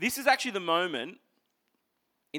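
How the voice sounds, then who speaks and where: Bright and sharp in tone, a man with an Australian accent talks at a fairly quick pace, animated and with lively intonation, on a very clean recording with a silent background. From Queensland, Australia (Toowoomba). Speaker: pastor. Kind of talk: sermon. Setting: church.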